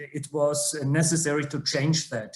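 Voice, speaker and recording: Audible room echo surrounds a man with a German accent who speaks very slowly at a fairly high pitch. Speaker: judge. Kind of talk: online seminar presentation. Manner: halting, many fillers.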